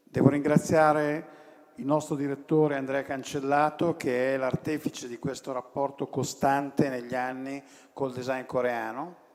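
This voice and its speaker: Noticeable background noise runs beneath a man speaking at a moderate pace, fairly high in pitch and flat, monotone in intonation. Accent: Italian. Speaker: design association president. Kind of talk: welcome speech. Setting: stage at award ceremony.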